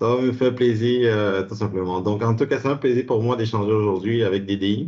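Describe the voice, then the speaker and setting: Fairly quick, fairly even-toned speech from a man. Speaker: insurance advisor and college professor. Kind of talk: presentation. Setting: video call. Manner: fast.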